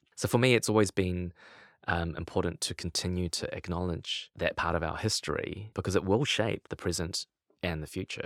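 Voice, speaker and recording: A man with a New Zealand accent speaks at a moderate pace in a very deep, low voice with ordinary pitch variation, the sound dry and close with no echo on a very clean recording with a silent background. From New Zealand, Lower Hutt. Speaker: poet. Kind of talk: interview conversation. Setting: studio.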